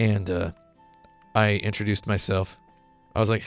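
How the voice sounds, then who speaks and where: A man speaks at a fairly low pitch over music in the background. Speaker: YouTuber playing a video game. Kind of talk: casual, conversational.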